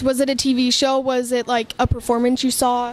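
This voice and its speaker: A woman with a Californian accent talks at a fairly quick pace in a high voice. Music plays in the background. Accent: Californian American English. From North County San Diego. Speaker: interviewer. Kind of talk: interview. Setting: coffee house.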